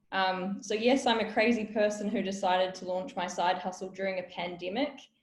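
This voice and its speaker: Somewhat breathy and quick-paced, a woman speaks at a medium pitch with fairly even intonation and audible room echo. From New Zealand, South Auckland. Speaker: business founder and workshop speaker. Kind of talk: webinar talk. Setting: online webinar.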